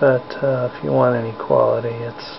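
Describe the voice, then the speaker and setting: Background noise can be clearly heard. The talking proceeds at a moderate pace. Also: man. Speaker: hobbyist spider keeper vlogger. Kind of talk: casual live narration. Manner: whispering; hesitant, many fillers. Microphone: cheap camera mic, picks up every sound, loud.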